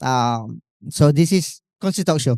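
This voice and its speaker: Someone with a Malaysian accent speaks at a very slow pace on a very clean recording with a silent background. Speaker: talk show host. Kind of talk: live event talk show opening. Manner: hesitant, many fillers.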